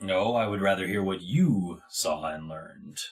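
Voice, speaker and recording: A man's raspy, put-on character voice, fairly low in pitch, at a moderate pace with ordinary pitch variation. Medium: actual play. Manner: curt, deadpan, unsmiling.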